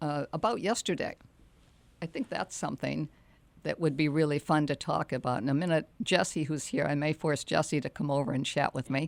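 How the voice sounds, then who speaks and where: In a very clean recording with a silent background, a woman's very deep, low voice carries ordinary pitch variation and sounds dry and close with no echo. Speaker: real estate radio host. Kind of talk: casual talk show. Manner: fast.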